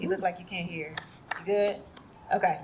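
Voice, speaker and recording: A woman's voice comes with audible room echo and noticeable background noise. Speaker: participatory budgeting program manager. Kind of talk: speech at community event. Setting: event stage with audience. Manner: soft-spoken.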